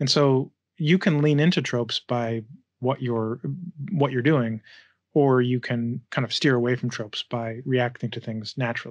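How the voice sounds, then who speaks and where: A man speaks at a moderate speed over a quiet background, his pitch varying in an ordinary way. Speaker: game writer and filmmaker; interview guest. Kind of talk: interview. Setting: video call. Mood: relaxed, reflective. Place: home room. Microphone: studio mic.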